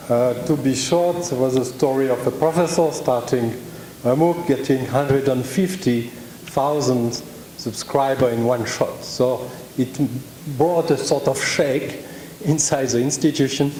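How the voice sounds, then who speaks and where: In a French accent, a man of medium pitch speaks at a fairly slow pace with very even loudness and fairly even intonation, amid noticeable background noise and audible room echo. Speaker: university representative presenting online courses. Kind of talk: conference presentation.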